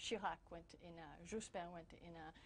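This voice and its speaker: The voice is somewhat breathy, with a French accent. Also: woman. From France and US, binational. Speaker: newspaper bureau chief, journalist. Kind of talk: interview. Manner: halting, many repetitions and fillers.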